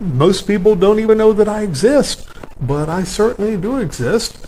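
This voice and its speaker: Amid noticeable background noise, a man with an American accent and a high pitch speaks at a moderate pace with lively intonation. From US South. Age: 60s. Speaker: autobiographical narrator. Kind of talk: personal monologue. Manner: halting, with frequent fillers.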